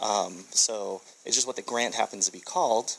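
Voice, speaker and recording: Medium-pitched male speech, ordinary in its pitch variation, amid noticeable background noise. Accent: American. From USA. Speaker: tech entrepreneur and speaker. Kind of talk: conference presentation. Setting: stage with audience. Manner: fast.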